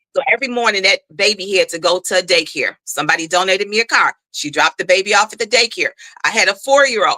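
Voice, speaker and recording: This woman speaks at a very fast pace in a passionate, bright, sharp tone. Her pitch variation is ordinary, and the sound is dry and close with no echo. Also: medium pitch for a woman. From Chicago, US Midwest. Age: 60s. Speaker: school board candidate. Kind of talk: interview.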